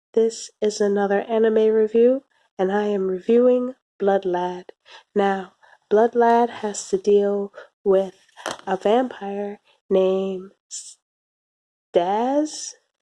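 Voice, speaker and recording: Soft-spoken and very slow, a woman of medium pitch talks with fairly even intonation and long, frequent pauses in a dry, close recording with no echo. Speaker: anime reviewer. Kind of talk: video review monologue. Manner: hesitant, with fillers.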